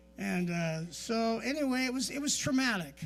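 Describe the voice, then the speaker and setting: A man's voice carries audible room echo while music sits in the background. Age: 60s. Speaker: pastor. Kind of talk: sermon. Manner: conversational, repetitive.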